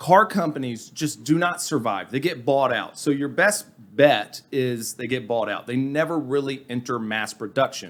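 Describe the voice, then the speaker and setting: With an American accent, a man speaks at a moderate pace and medium pitch with lively intonation, in a very clean recording with a silent background. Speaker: podcast co-host, investing commentator. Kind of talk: casual chat. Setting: studio.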